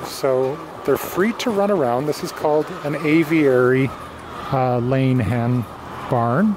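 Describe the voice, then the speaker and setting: Noticeable background noise sits behind a man with a fairly high pitch who talks at a very slow pace. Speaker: egg farmer. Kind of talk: video tour. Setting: inside a barn with hens. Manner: whispering; casual, hesitant.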